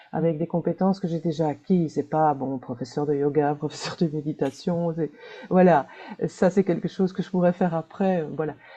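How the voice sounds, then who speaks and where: Her tone dark and mellow, a woman talks at a moderate speed. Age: 60s. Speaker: webinar participant, librarian. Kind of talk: personal introduction. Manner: hesitant.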